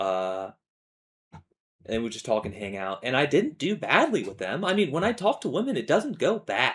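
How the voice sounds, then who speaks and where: At a moderate pace, a man with a fairly high pitch and vocal fry swings his pitch very widely. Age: 20s. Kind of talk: personal monologue vlog. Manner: halting, many false starts and fillers; casual, informal.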